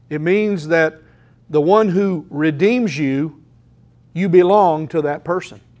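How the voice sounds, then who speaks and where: His pitch varies in an ordinary way. The man's voice is high-pitched. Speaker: pastor. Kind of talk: sermon. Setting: church. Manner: halting.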